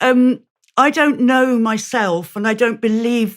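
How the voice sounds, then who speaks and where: In a British accent, a woman is speaking. The background is silent and the recording very clean. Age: 60s. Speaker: author and campaign group founder. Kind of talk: interview conversation. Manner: halting, many repetitions.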